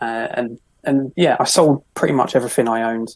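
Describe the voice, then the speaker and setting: In a London accent, a man speaks at a moderate pace with monotone, flat intonation. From London, Croydon. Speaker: minimalist author. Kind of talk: podcast interview.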